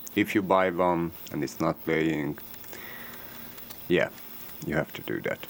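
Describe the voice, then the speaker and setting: Here a man speaks with a Hungarian accent. His pitch is very deep and low. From Hungary. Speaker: electronics repair technician. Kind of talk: tutorial. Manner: halting.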